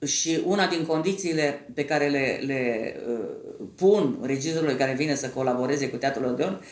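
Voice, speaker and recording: Audible room echo hangs around a woman's voice. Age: 70s. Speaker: actress and theatre director. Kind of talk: interview.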